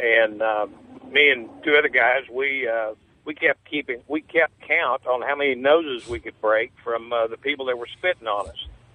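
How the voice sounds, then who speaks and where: Speech with ordinary pitch variation moves at a moderate pace against noticeable background noise. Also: man, medium pitch for a man. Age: 60s. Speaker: caller, Vietnam veteran. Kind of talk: call-in talk radio. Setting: phone call.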